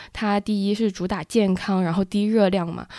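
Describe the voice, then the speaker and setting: Recorded very cleanly against a silent background with a dry, close sound and no echo, a woman speaks at medium pitch and a moderate pace in a dark, mellow tone. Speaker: podcast co-host. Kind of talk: casual business news chat.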